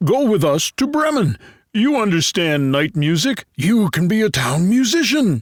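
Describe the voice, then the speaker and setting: Putting on a character voice, a man speaks at a moderate pace and a high pitch, with very wide pitch swings. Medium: read story.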